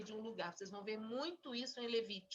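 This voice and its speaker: A woman talks with a bright, sharp tone and ordinary pitch variation. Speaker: Bible teacher. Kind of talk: Bible study teaching.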